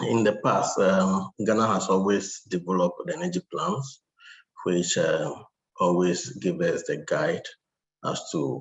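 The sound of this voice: Using a put-on character voice, a man talks hoarsely at a fairly slow pace with fairly low pitch.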